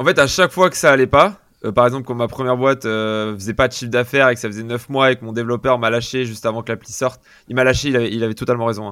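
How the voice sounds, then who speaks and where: With a bright, sharp tone and medium pitch, a man rattles along at a very fast pace. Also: ordinary pitch variation. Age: 20s. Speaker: entrepreneur. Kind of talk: interview conversation. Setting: video call.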